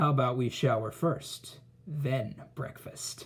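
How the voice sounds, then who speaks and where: Putting on a character voice, a man rumbles at a medium pitch, talking at a fairly slow pace with fairly even intonation. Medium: read story. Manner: lazy, grumbling.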